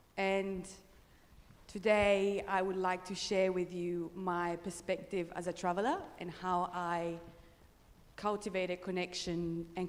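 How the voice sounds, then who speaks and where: A woman with an Italian accent speaks at a fairly slow pace and fairly low pitch, in a monotone, flat intonation. Audible room echo surrounds her voice. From northern Italy, Pre-Alps village. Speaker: traveller and presenter. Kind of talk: conference presentation.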